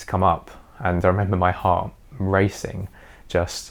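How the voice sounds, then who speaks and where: Man with a British accent, a very deep, low pitch, a confident tone and fairly even intonation. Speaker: YouTuber sharing personal experience. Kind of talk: personal vlog monologue. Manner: confident, fluent.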